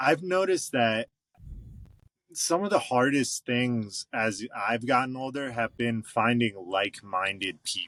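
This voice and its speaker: A man with an ordinary speaking voice talks at a fairly slow pace and medium pitch. The sound is dry and close with no echo, over a quiet background. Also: lively intonation. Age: 30s. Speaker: rock band drummer. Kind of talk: casual chat. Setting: podcast interview.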